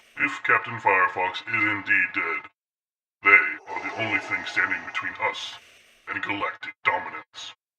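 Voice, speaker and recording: A man's put-on character voice at a moderate pace. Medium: machinima. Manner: commanding, terse.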